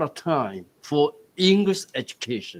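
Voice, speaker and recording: The pace is very slow. The sound is dry and close, with no echo. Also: man. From Taiwan. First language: Taiwanese Hokkien. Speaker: university dean, forum moderator. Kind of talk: panel discussion moderation.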